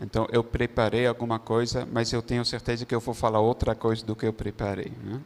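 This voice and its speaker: A man's medium-pitched voice at a fairly quick pace, flat and monotone, with hardly any pauses. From Netherlands. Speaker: religious brother. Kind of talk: testimony. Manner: halting.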